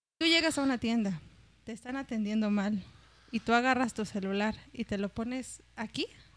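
A woman with an unremarkable speaking voice talks at a moderate pace. Her pitch is fairly high, with ordinary pitch variation. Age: 20s. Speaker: comedian, podcast host. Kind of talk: casual chat.

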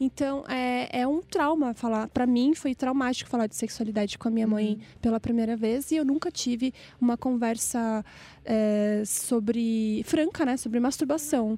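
A woman speaks in a high pitch with a dark, mellow tone. Her pace is moderate and her pitch variation ordinary. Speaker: podcast host. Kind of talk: casual chat.

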